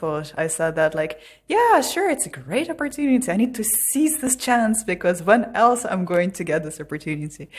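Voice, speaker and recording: The speaker has a slight Irish accent. The pace is fairly quick. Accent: Irish-tinged English. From Russia. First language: Russian. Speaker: podcast guest. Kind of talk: casual interview chat.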